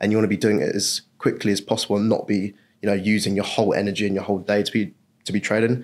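In an English accent, a man with a fairly low pitch speaks at a very fast pace. The recording is very clean, with a silent background. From England. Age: 20s. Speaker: funded trader. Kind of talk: interview.

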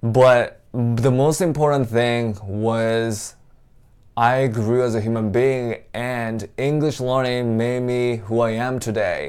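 With fairly even intonation, a man speaks at a very slow pace. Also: medium pitch for a man. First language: not English. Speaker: English teacher. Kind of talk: motivational talk.

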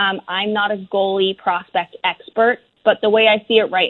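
A woman speaks at a fairly slow pace in a medium pitch. She has a plain, everyday voice. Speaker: hockey journalist. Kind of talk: radio interview.

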